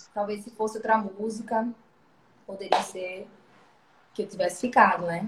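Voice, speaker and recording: A woman at medium pitch with monotone, flat intonation, a moderate pace, long, frequent pauses, big swings in loudness and noticeable background noise. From Brazil, Alagoas (Maceió). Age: 20s. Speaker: singer. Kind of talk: interview on a live stream.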